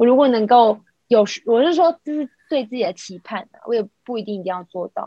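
Fairly high in pitch with a dark, mellow tone, a woman talks at a fairly quick pace with lively intonation. Her loudness swings widely, and the sound is dry and close with no echo. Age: 40s. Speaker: podcast co-host. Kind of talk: casual chat. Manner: animated.

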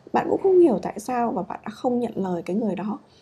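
A woman speaks at a fairly quick pace. Her tone is dark and mellow, and somewhat breathy. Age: 30s. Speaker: podcast host, japanese learning blogger. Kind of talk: casual solo talk. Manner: hesitant, many fillers.

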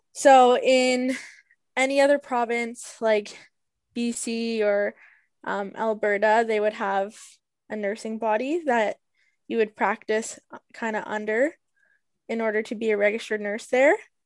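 Speaking with a Canadian accent, a woman with a fairly high pitch keeps her intonation fairly even and leaves long, frequent pauses. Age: 20s. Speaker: nurse. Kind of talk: interview.

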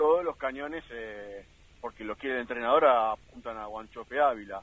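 A man's unremarkable speaking voice at medium pitch, moderate pace and ordinary pitch variation. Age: 40s. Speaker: sports radio panelist. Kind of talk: casual sports talk radio. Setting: in a car.

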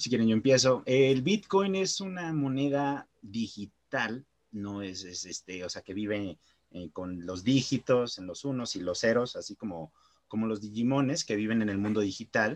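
At a fairly slow pace, a man talks at medium pitch. His intonation is lively and his loudness swings a lot. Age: 20s. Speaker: marketer and web developer. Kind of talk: casual improvised chat.

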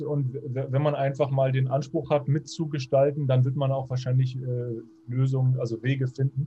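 Dark and mellow in tone, a man's somewhat breathy voice sits at a medium pitch, monotone and flat, at a fairly slow pace. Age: 40s. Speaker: podcast interviewer. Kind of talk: interview. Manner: halting, many fillers.

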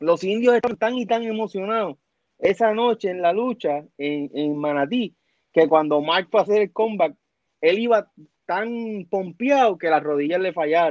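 Recorded dry and close with no echo, a man with a high pitch speaks at a fairly slow pace with lively intonation. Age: 40s. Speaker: former wrestling TV personality. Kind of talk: casual interview.

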